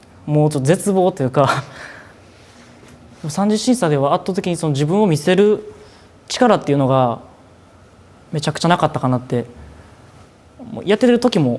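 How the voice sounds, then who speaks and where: A man with a Kansai accent, high pitch, lively intonation, big swings in loudness, moderate pace, and long, frequent pauses. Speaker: idol trainee. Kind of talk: documentary interview.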